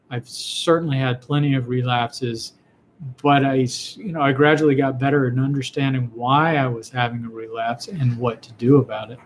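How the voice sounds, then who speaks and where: Big swings in loudness at a moderate pace, with noticeable background noise. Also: man, medium pitch for a man, fairly even intonation. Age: 60s. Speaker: physician answering viewer questions. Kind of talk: live Q&A broadcast. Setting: live online video stream. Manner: halting, frequent fillers and repetitions.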